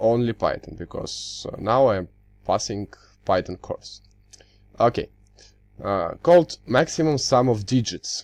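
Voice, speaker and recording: A man speaks at a fairly slow pace with a Russian accent, leaving long, frequent pauses. The recording is very clean, with a silent background. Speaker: university student. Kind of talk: tutorial. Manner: halting, many fillers.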